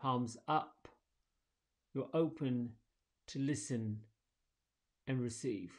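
Against a quiet background, a man at medium pitch talks at a very slow pace in a soothing, calm tone, with ordinary pitch variation and long, frequent pauses. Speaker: meditation and yoga teacher. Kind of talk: guided meditation; casual solo morning message. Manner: slow, soothing, calm and gentle; relaxed, reflective. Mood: calm, soothing. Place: home room.

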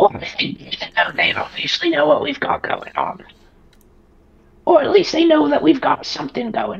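In a high voice, a man talks with very wide pitch swings. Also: moderate pace. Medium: actual play. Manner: resigned, dry, matter-of-fact.

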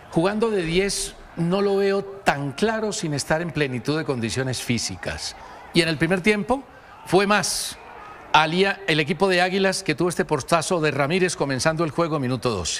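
A man with a high pitch and lively intonation speaks at a moderate pace. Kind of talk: sports commentary.

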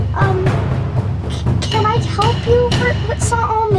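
Loud music fills the background. Over it, a woman speaks at a very slow pace. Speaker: vlogger filming a spooky skit. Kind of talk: casual vlog chat, scared narration. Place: home room. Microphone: phone near.

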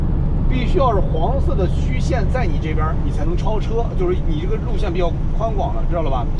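Loud background noise sits behind the voice. The speaker goes at a fairly quick pace with hardly any pauses. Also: man. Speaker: truck driver vlogger. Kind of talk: tutorial. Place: car. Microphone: camera far.

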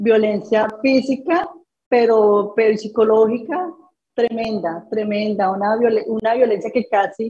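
Somewhat breathy and dark, mellow in tone, this voice moves at a very slow pace with ordinary pitch variation. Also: woman. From Colombia, Tolima and Bogotá; Colombia. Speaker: construction entrepreneur, accident survivor; interview guest. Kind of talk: interview testimony. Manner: halting, many repeated words. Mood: emotional personal story. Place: home room. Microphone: video call.

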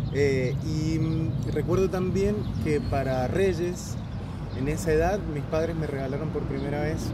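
Loud background noise surrounds a man speaking at a very slow pace. The sound is dry, with no echo. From Valle de Uco, Mendoza, Argentina. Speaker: percussionist. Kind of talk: casual interview. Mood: warm, reflective. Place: street. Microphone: phone near.

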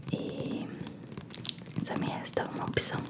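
A woman speaks in a whisper. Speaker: ASMR creator. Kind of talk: ASMR roleplay talk. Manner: soft, close-mic ASMR roleplay voice. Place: home room. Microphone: studio mic.

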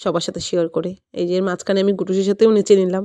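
A woman's medium-pitched voice, dark and mellow, with a dry, close sound and no echo. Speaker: lifestyle vlogger. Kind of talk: vlog narration.

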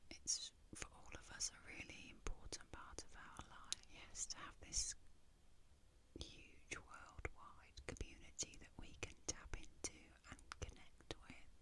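A woman whispering in a gentle tone at a fairly slow pace, with loud background noise. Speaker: ASMR content creator. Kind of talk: soft-spoken personal talk. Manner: gentle intimate whisper. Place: home room. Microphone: studio mic.

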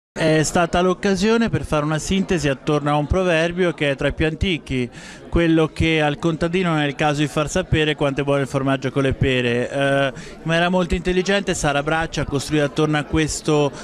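Over light background noise, a man talks at a fairly quick pace with fairly even intonation and a dry sound with no echo. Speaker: speaker. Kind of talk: interview answer. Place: hall. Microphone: handheld.

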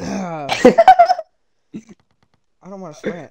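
This put-on character voice sounds whiny at a middle pitch. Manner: mimicking another person's reluctant, whiny voice.

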